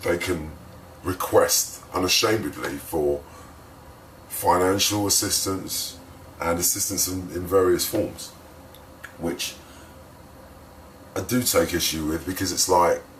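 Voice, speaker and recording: Very deep and low, a man speaks at a fairly slow pace with fairly even intonation and long, frequent pauses, amid noticeable background noise. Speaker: spoken word poet. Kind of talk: casual vlog intro before poem. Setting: hotel room.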